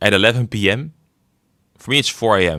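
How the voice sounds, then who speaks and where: Lively intonation and a bright, sharp tone mark this man's speech. He talks at a moderate pace with a slight Dutch accent. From Netherlands. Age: 20s. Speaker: gaming streamer. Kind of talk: casual livestream chat.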